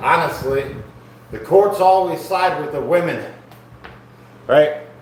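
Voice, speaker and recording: Talking at a very slow pace, a man with a high pitch and ordinary pitch variation is heard amid audible room echo and noticeable background noise. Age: 40s. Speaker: fitness streamer doing workout livestream. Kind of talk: casual livestream chat while exercising. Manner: casual, conversational.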